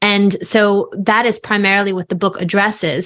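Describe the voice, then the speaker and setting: A woman speaks with an American accent. Her pitch sits in the medium range. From New York, Long Island. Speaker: author and speaker on faith. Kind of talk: podcast interview.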